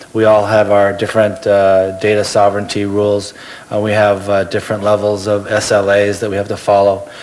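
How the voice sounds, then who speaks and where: With noticeable background noise, a man with an American accent and a fairly low pitch talks at a fairly quick pace in a monotone, flat intonation. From United States. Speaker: marketing executive. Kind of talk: panel discussion. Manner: halting.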